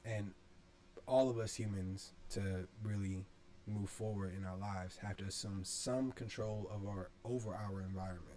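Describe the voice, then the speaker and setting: A man speaks at a fairly low pitch in a monotone, flat intonation. The room echo is audible, and background noise is noticeable. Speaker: video essay creator. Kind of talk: casual monologue. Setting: bedroom. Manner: slow; low-energy, not exuberant.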